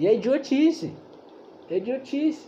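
A man talks with lively intonation. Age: 20s. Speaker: bible study leader. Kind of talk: bible study teaching. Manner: casual, slangy.

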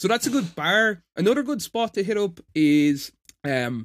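A man with an Irish accent speaks with lively intonation, his sound dry and close with no echo on a very clean recording with a silent background. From Ireland. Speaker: editor and stand-up comedian. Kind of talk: casual chat.

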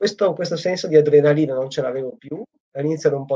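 Somewhat breathy and dark, mellow in tone, a man talks at a very fast pace in a fairly high pitch, with a dry, close sound and no echo. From Italy. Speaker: PhD student. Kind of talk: casual chat.

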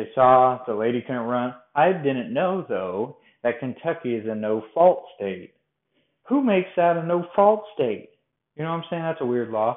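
A man's medium-pitched voice with an American accent, very wide pitch swings and a moderate pace. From Colorado. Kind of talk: personal storytelling monologue. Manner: casual, conversational.

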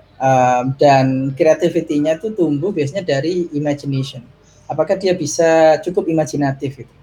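A man speaks at a moderate pace in a fairly high pitch, with a dark, mellow tone. His voice is somewhat breathy and shows big swings in loudness. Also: ordinary pitch variation. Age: 30s. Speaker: tech executive and parent. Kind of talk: casual interview.

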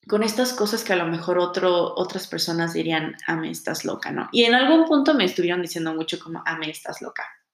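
A woman speaks with very wide pitch swings. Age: 20s. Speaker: podcast host, tarot reader. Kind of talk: solo monologue podcast introduction.

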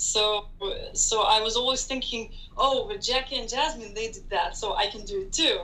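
A woman's raised, projected voice, high-pitched with very wide swings, over noticeable background noise. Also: moderate pace. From Israel (Tel Aviv). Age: 20s. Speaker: graduate student. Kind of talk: casual interview.

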